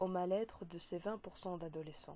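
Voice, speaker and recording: A woman speaks with a Belgian accent at medium pitch and a fairly slow pace. Her tone is dark and mellow, her intonation fairly even. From Belgium. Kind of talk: read speech for interpreting practice.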